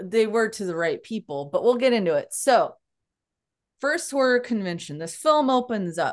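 An unremarkable speaking voice with lively intonation at a moderate pace, against a quiet background. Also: woman. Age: 30s. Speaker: podcast host, PhD student. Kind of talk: casual chat.

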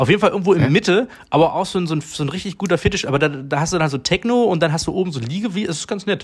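Speaking at a very fast pace with hardly any pauses, a man uses lively intonation and a high pitch. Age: 40s. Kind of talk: casual chat.

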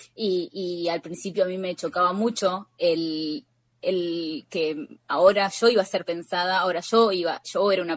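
This woman's voice sits at a fairly low pitch, with a dry, close sound and no echo. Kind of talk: interview. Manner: halting, many repetitions and fillers.

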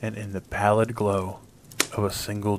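Noticeable background noise sits behind a man talking at a moderate pace, his fairly low voice flat and monotone. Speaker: audiobook narrator. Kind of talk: horror story narration, read aloud. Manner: formal, measured pacing with suspense.

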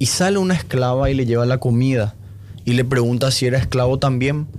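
A man at medium pitch and a fairly quick pace, a normal speaking voice. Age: 20s. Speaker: podcast guest discussing films and philosophy. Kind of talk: casual chat.

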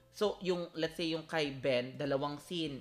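The speaker has a Filipino accent. The pace is moderate. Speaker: podcast host. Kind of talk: casual chat; scripted intro.

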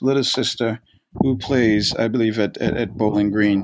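Monotone, flat intonation from a man on a very clean recording with a silent background. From Brooklyn, New York. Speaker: college soccer coach. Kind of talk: interview conversation. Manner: halting, with frequent repeated words.

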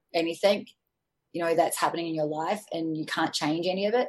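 This woman speaks with an Australian accent. Her pitch is fairly low and her intonation fairly even. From Australia, Sydney. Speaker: life coach and former fitness trainer. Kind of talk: interview conversation.

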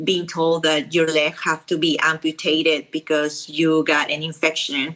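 Speaking at a moderate pace with a Peruvian accent, a woman has a very deep, low pitch, a bright, sharp tone and monotone, flat intonation. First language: Spanish. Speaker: travel influencer and wheelchair user. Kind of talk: interview. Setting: at home.

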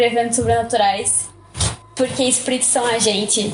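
A woman's fairly high voice shows ordinary pitch variation against noticeable background noise. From Arraial do Cabo, Rio de Janeiro state, Brazil. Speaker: podcast guest. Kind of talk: casual chat.

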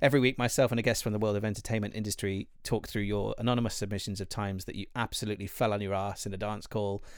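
A man with a fairly low voice speaks very fast, with hardly any pauses. His intonation is monotone and flat, and the recording is very clean with a silent background. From Wales. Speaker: voice actor and podcast host. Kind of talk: casual chat.

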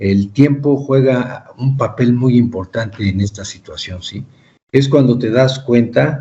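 Somewhat breathy and very slow, a man speaks at a medium pitch with ordinary pitch variation. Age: 30s. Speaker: cancer survivor and author. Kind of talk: interview.

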